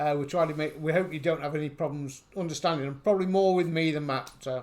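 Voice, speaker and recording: The speech runs at a very fast pace with fairly even intonation. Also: man, fairly high pitch for a man. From England. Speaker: YouTube reaction host. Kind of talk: casual chat.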